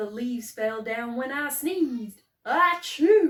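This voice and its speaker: A put-on character voice at a fairly slow pace. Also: woman. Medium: read story.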